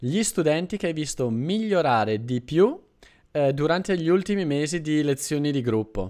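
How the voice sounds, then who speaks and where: A man speaks at a moderate pace in a plain, everyday voice, pitched fairly high. His intonation is lively, and the background is quiet. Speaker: Italian teacher, channel host. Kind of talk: conversational interview host. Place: home room. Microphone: studio mic.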